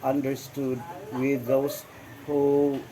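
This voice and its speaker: The speaker has a Visayan Filipino accent and talks at a fairly slow pace. Background noise is noticeable. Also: man. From Philippines, Misamis Occidental. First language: Bisaya (Cebuano). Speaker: interviewee. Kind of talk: interview. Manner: halting, many fillers; formal.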